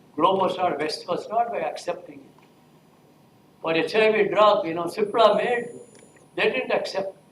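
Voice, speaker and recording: Audible room echo surrounds speech with ordinary pitch variation and big swings in loudness. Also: man, high pitch for a man, moderate pace. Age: 80s+. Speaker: professor. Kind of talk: lecture. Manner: halting.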